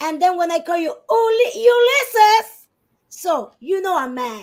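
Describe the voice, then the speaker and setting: A woman talks at a fairly slow pace in a Spanish accent. Her pitch is extremely high and swings very widely. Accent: non-native English, Spanish speaker. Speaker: divorce guest expert. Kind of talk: podcast discussion.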